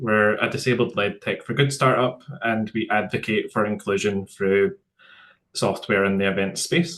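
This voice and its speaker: Speaking at a moderate pace with a Scottish accent, a man uses a fairly low pitch and ordinary pitch variation. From Scotland. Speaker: tech startup founder, accessibility speaker. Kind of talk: webinar presentation. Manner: some hesitations and repeated words.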